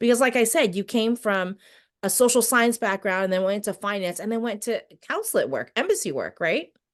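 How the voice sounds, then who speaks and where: A woman's fairly high voice at a fairly quick pace, with ordinary pitch variation and a quiet background. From outside the US. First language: not English. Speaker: interview host, military spouse. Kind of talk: interview.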